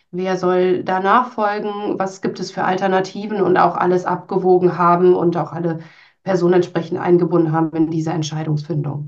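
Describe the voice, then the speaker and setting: Here is a woman with a plain, everyday voice, pitched fairly low. She keeps a moderate pace and fairly even intonation. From Münsterland, northwestern Germany. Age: 30s. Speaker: HR team leader. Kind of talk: interview.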